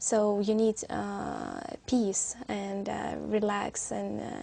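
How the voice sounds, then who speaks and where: A woman speaks with a Syrian accent. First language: Arabic. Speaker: exam candidate. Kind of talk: language exam interview. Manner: halting, many fillers.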